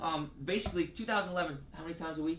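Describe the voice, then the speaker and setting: Amid noticeable background noise and audible room echo, a man talks at a very fast pace, his pitch fairly high with ordinary variation. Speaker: sports medicine health educator. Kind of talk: casual interview with explanation. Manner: halting, many fillers and repeats.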